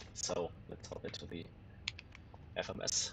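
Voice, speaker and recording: A man speaks with a German accent. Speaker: flight sim streamer. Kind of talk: live stream commentary. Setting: home sim rig live stream. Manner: casual, hesitant with fillers.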